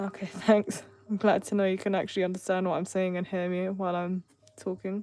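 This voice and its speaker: A woman mumbles at a fairly quick pace with an English accent. Her medium-pitched voice stays monotone, with flat intonation. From England. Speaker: artist streamer. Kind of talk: live stream chat while drawing. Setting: live stream. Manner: mumbling.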